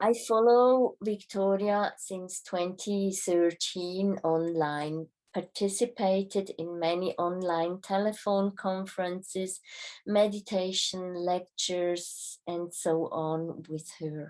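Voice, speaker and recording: A woman talks at a very slow pace with a non-native accent. Her pitch is medium and her intonation fairly even. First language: not English. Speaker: spiritual travel guide. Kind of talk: reading aloud a travel report. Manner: formal.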